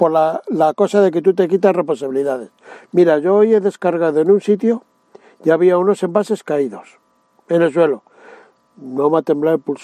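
Dry and close with no echo, a man's dark, mellow voice sits high in pitch, with ordinary pitch variation and a moderate pace. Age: 60s. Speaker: truck driver. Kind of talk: interview.

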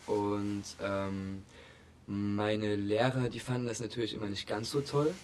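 Music plays in the background as a man speaks at a very slow pace with fairly even intonation. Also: fairly low pitch for a man. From Saxony, near Chemnitz (Augustusburg). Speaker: art student and painter. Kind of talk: casual interview.

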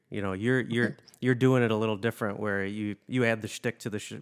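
A man speaks in an ordinary speaking voice, pitched fairly low, with fairly even intonation. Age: 30s. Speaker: podcast host and musician. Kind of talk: casual interview.

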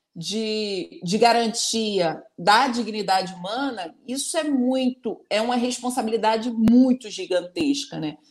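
With hardly any pauses, a woman with fairly high pitch speaks at a very slow pace and uses lively intonation. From Rio de Janeiro, Maré favela. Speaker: politician. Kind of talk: panel discussion.

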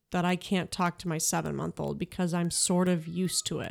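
A woman with an American accent speaks at medium pitch. The recording is very clean, with a silent background. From US Midwest, Chicago suburbs. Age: 30s. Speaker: podcast host. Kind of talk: casual chat.

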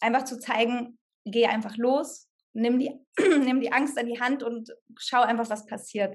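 This woman has a high-pitched voice with fairly even intonation. The background is quiet. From Germany, Sauerland. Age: 30s. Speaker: actress, hospital clown and coach. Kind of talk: casual interview.

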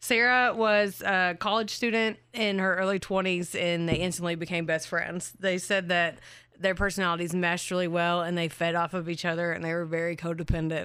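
On a very clean recording with a silent background, a woman speaks loudly at a fairly quick pace. Her voice is fairly low, and her intonation is fairly even. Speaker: true crime podcast co-host. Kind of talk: casual storytelling chat. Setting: recording studio.

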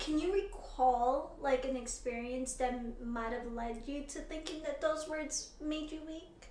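Soft-spoken and high-pitched, a woman talks with hardly any pauses. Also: ordinary pitch variation, fairly slow pace. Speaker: podcast host. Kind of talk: casual interview chat.

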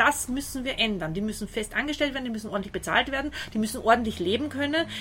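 A woman's voice with music in the background. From Austria. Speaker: translator and volunteer helper. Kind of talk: interview. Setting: outdoors on a balcony.

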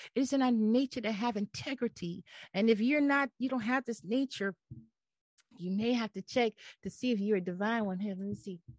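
A woman with a fairly high pitch talks at a fairly quick pace in an animated tone, her voice somewhat breathy, its pitch moving an ordinary amount, in a dry, close recording with no echo and a quiet background. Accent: American. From US Northeast. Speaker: podcast host, spiritual motivational speaker. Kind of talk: inspirational monologue. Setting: home video podcast recording. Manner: animated, repetitive emphatic preaching style.

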